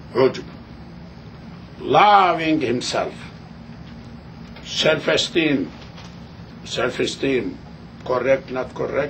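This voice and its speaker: A man speaks very slowly with long, frequent pauses, medium pitch and lively intonation. There is audible room echo and noticeable background noise. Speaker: religious teacher. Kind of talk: lecture. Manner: halting.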